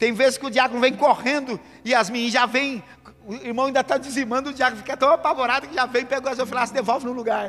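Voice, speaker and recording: A man's extremely high-pitched voice at a very fast pace, fairly even intonation, noticeable background noise. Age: 40s. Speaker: pastor. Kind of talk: sermon.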